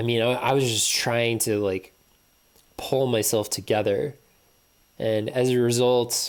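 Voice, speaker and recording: A man speaks at a medium pitch with very even loudness. His intonation is monotone and flat, broken by long, frequent pauses. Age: 30s. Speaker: video blogger. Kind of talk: personal monologue.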